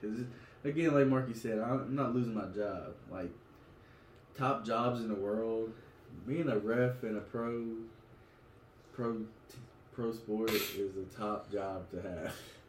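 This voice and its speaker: A man with an American accent speaks at a fairly slow pace in a medium-pitched voice with ordinary pitch variation. He takes long, frequent pauses, and the room echo is audible. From West Virginia. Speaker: podcast co-host. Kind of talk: casual chat.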